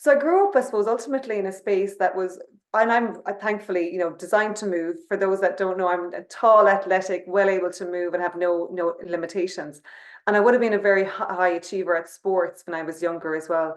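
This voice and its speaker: A very fast woman with an Irish accent, medium in pitch with ordinary pitch variation. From Ireland. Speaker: company CEO. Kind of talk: webinar conversation.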